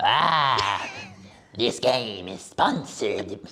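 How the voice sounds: This is a put-on character voice with a raspy quality. It sits at a low-to-middle pitch.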